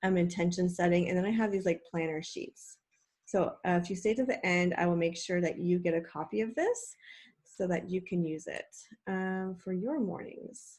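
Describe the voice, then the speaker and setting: Somewhat breathy, a woman talks at medium pitch and a moderate pace, her intonation fairly even. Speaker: online coach and school psychologist. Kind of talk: live webinar presentation. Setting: live video call with screen share.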